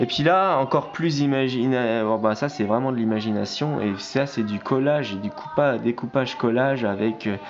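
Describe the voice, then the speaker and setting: Over music in the background, the speaker talks at a fairly slow pace with ordinary pitch variation. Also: man. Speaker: amateur artist. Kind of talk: casual vlog presenting artworks. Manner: halting, many fillers and restarts.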